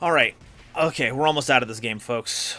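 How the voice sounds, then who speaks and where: An animated man's voice at a moderate pace, with ordinary pitch variation and music in the background. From Hoklo Chinese heritage. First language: Hokkien. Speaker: gaming streamer. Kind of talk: live game commentary.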